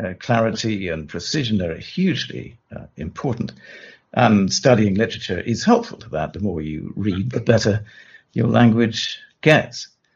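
A somewhat breathy voice with lively intonation, big swings in loudness and a moderate pace. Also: man, fairly low pitch for a man. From southern England. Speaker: lawyer. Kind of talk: interview. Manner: halting.

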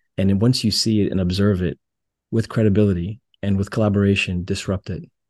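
A man with a General American accent at a very fast pace, fairly low in pitch with fairly even intonation, dry and close with no echo against a quiet background. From US West Coast, Los Angeles. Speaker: pharmaceutical executive. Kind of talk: interview.

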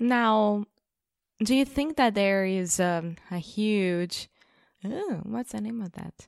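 With a Brazilian accent, a woman speaks very slowly in a medium pitch with ordinary pitch variation, big swings in loudness, and long, frequent pauses, all in a dry, close sound with no echo. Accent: mild Brazilian Portuguese-accented English. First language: Portuguese. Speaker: co-presenter of English-learning podcast. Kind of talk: casual chat.

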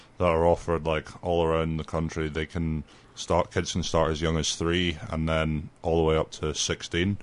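Speaking at a fairly slow pace, a man with a Scottish accent has a very deep, low pitch. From Scotland, near Dundee. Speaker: youth soccer coach. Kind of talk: radio interview. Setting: radio studio.

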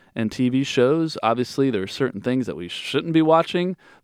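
In a dry, close sound with no echo and a quiet background, a man talks at a medium pitch with ordinary pitch variation. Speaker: pastor and podcast host. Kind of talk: casual discussion of a sermon. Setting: studio podcast.

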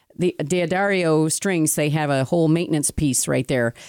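A woman talks in an animated tone at a moderate pace. The recording is very clean, with a silent background. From Italian-American heritage. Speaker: podcast co-host. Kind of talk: casual chat. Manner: animated, talks with hands.

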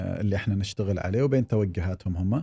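With ordinary pitch variation, a dark, mellow tone comes across over a quiet background. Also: man. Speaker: tech company executive. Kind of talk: interview. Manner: hesitant with filler sounds.

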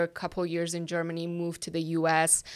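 A woman with a slight Persian accent in a very clean recording with a silent background. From Iran. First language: Persian (Farsi). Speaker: ministry worker. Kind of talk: interview. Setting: office.

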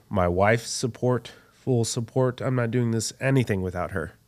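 A man with a normal speaking voice and an American accent, ordinary pitch variation, a moderate pace, and a very clean recording with a silent background. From Texas. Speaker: pitmaster and restaurant owner. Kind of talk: interview, faith testimony.

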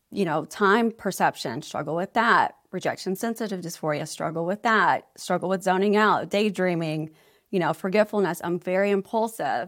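A woman with an ordinary speaking voice keeps a medium pitch and ordinary pitch variation, talking at a moderate pace with hardly any pauses on a very clean recording with a silent background. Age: 40s. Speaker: ADHD advocate and healthcare consultant. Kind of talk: casual interview.

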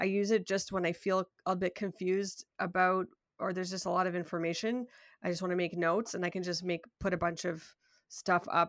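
A woman speaks at a fairly quick pace with a Canadian accent, her pitch medium and her intonation flat and monotone. The recording is very clean, with a silent background. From Canada, Toronto. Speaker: software developer and UI designer. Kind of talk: casual interview.

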